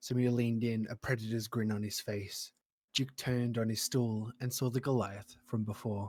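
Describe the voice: A quiet background beneath plain reading aloud with fairly even intonation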